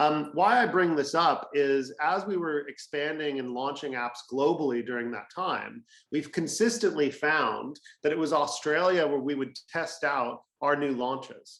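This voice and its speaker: Here is a man with an American accent and a fairly high pitch, speaking at a fairly slow pace. He has an ordinary speaking voice with ordinary pitch variation. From California, US. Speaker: fintech industry representative. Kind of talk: webinar presentation.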